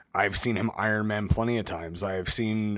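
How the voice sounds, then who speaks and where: On a very clean recording with a silent background, a man with an American accent uses a normal speaking voice, fairly low in pitch, with fairly even intonation. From Las Vegas, US. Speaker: professional wrestler and podcast co-host. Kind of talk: casual chat.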